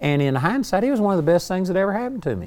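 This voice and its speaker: This man's voice sits high for a man and swings very widely in pitch. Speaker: preacher / Bible teacher. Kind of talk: sermon.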